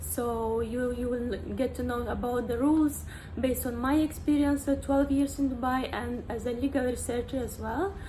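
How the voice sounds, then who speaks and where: A woman talks at a moderate pace. Room echo is audible, and background noise is noticeable. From Moldova. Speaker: vlogger. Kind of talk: casual vlog talk. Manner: halting, many fillers.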